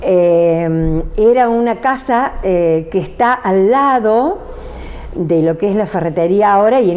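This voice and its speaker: A woman at a fairly slow pace, with lively intonation, amid noticeable background noise. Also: very even loudness. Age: 70s. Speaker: interviewee recalling life story. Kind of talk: casual interview. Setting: at her home.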